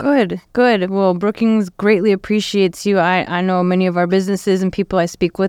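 Captured on a very clean recording with a silent background, the speaker has a plain, everyday voice. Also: woman. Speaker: community radio host. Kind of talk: casual radio interview. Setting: radio studio. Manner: warm, upbeat.

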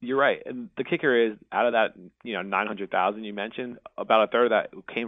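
Using a plain, everyday voice, a man talks fairly quickly at a fairly low pitch with fairly even intonation. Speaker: conservation policy advocate. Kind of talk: interview.

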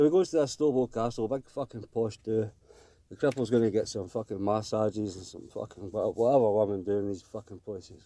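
A man with a Glaswegian accent talks fairly quickly at medium pitch with ordinary pitch variation. His tone is dark and mellow, with big swings in loudness. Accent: Glaswegian Scottish. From Glasgow, Scotland. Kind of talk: casual phone-in story. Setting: phone call.

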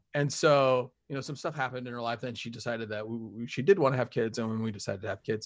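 Over a quiet background, a man with an American accent talks at a very fast pace with hardly any pauses. His pitch is medium, with ordinary variation. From Utah (Springville, near Provo). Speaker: former radio newsman. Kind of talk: casual chat.

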